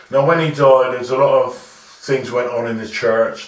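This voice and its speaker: Amid noticeable background noise and audible room echo, the speaker goes at a fairly slow pace in a monotone, flat intonation. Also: man. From Southampton, southern England. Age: 60s. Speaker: community elder, former sound system owner. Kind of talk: interview.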